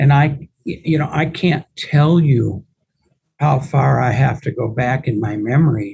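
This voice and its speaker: Dark, mellow tone and a somewhat breathy quality in a man's voice. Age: 70s. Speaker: real estate attorney and investor. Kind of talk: podcast interview.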